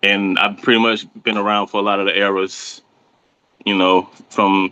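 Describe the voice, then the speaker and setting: A man with an American accent speaks at a fairly low pitch and a moderate pace. His tone is bright and sharp, and the sound is dry and close with no echo. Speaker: battle rapper. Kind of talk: interview.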